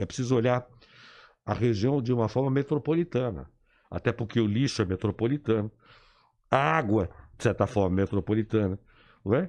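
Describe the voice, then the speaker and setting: Fairly quick speech broken by long, frequent pauses, with ordinary pitch variation over a quiet background. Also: man, medium pitch for a man, very even loudness. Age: 60s. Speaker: engineer and political activist. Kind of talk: radio interview. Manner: animated.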